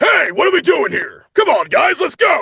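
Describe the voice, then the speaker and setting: Shouting in a gruff, put-on character voice, a man talks at a moderate pace with extremely high pitch. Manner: brusque, commanding.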